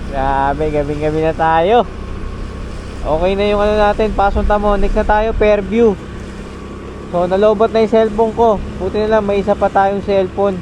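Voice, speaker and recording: At a moderate pace, a man with a high voice speaks at a very even loudness and ordinary pitch variation, leaving long, frequent pauses over noticeable background noise. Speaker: delivery rider vlogger. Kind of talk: casual vlog narration. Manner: animated.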